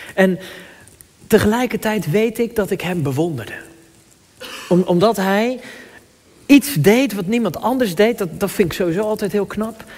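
A man speaks at a high pitch with ordinary pitch variation and long, frequent pauses. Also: moderate pace. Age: 30s. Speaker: pastor. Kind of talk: sermon. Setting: church. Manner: halting.

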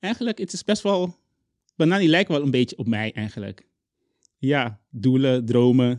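Very wide pitch swings from a man at a medium pitch and moderate pace, with long, frequent pauses, a dry, close sound with no echo and a quiet background. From Curaçao. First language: Papiamentu (speaking Dutch). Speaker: children's book author. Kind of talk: interview. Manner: halting.

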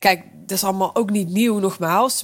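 Medium pitch from a woman, very clean recording and silent background. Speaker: business coach and podcaster. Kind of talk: solo podcast monologue, business advice. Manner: animated, casual, direct address to listener.

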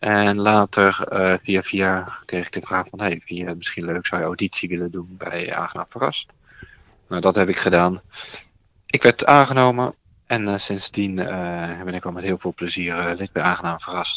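A man's very deep, low pitch in a bright, sharp tone, with fairly even intonation at a moderate pace and a dry, close sound with no echo. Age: 40s. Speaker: improv theatre player and tournament director. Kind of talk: casual interview.

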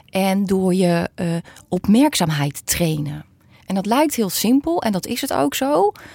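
Dry and close with no echo, a woman speaks at a medium pitch and fairly slow pace, her dark, mellow tone moving through very wide pitch swings. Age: 40s. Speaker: psychologist. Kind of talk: interview.

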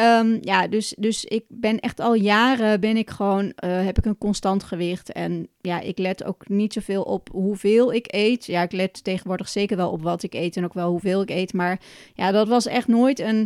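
A woman with a plain, everyday voice, medium pitch and fairly even intonation, at a moderate pace, with a dry, close sound and no echo. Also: very clean recording, silent background. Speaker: podcast host and Ayurveda coach. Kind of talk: solo educational podcast.

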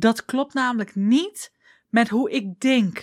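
Delivered at a very slow pace with ordinary pitch variation, the speech comes through as a very clean recording, dry and close with no echo and a silent background. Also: woman. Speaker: business coach. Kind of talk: solo podcast monologue. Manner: casual.

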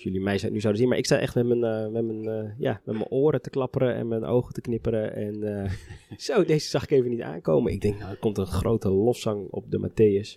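Talking at a fairly quick pace, a man uses a fairly low pitch and a dark, mellow tone, with ordinary pitch variation. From Netherlands, Harderwijk (Veluwe). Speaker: orchestra musician. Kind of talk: casual chat. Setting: brasserie.

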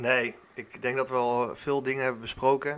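A man speaks with monotone, flat intonation while noticeable background noise plays. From Netherlands, Gelderland (Warnsveld). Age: 30s. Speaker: football club youth coordinator. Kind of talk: podcast interview. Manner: hesitant, many fillers.

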